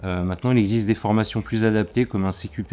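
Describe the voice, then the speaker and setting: Fairly even intonation in a man's fairly low-pitched voice. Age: 40s. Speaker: furniture finisher and varnisher. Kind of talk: interview testimony. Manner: hesitant, many fillers and repetitions.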